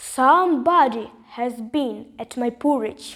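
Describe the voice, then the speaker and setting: A woman's put-on character voice, high-pitched, gruff and growling, at a moderate pace. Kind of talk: storybook. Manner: gruff, indignant.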